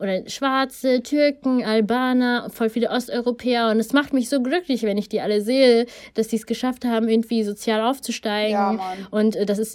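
In a very clean recording with a silent background, a woman with an ordinary speaking voice and a fairly high pitch talks at a moderate pace with hardly any pauses and fairly even intonation. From Germany, Ethiopian family. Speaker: podcast co-host. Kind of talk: casual chat.

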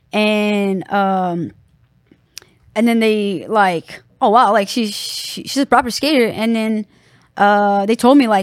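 A woman's medium-pitched voice in a Brazilian accent with fairly even intonation, in a very clean recording with a silent background. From Brazil, Sao Paulo. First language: Portuguese. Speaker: professional skateboarder. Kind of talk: casual interview.

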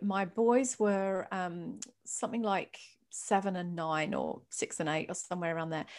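A woman keeps a moderate pace in a very clean recording with a silent background. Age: 50s. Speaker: mindset coach and hypnotherapist. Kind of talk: casual interview chat. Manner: mellow.

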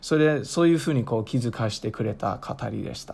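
In a very clean recording with a silent background, a man speaks at a moderate pace in a dark, mellow tone with ordinary pitch variation. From United States. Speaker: podcast host. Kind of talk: scripted narration; interview.

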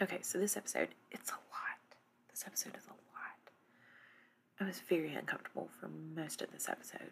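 A woman whispers at a fairly quick pace, with big swings in loudness. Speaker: TV recap podcast host. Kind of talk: casual recap monologue. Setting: dark room at home, in a recliner. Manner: quiet, hushed.

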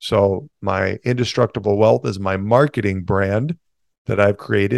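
A man speaks at a moderate pace in a normal speaking voice, his fairly low pitch carrying fairly even intonation over a quiet background, with a dry, close sound and no echo. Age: 40s. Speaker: entrepreneur and financial coach. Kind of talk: interview.

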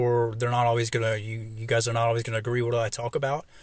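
On a very clean recording with a silent background, a man with an American accent speaks very fast in a medium pitch, sounding somewhat breathy. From US South, Kentucky and Atlanta. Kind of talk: solo devotional talk. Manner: halting, many fillers.

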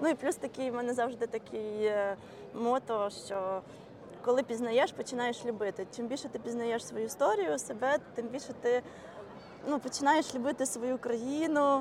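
Speaking at a moderate pace, a woman's high voice shows ordinary pitch variation. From Ukraine. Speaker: community organizer. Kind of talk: casual chat. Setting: outdoors.

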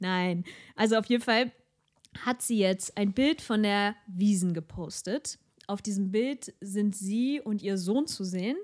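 A woman talks very slowly. Her medium pitch shows ordinary variation. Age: 30s. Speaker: podcast co-host. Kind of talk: casual chat. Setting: studio.

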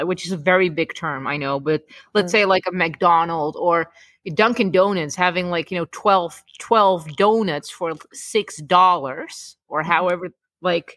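A woman's bright, sharp tone at medium pitch, fairly slow, with ordinary pitch variation. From Czech Republic and Netherlands. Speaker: podcast host. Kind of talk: casual chat.

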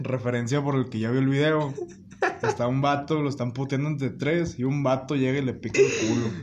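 A man speaks at a fairly quick pace in a monotone, flat delivery. Noticeable background noise runs underneath. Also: medium pitch for a man. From Mexico, León, Guanajuato. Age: 19. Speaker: podcast guest. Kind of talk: casual chat. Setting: at a friend's home.

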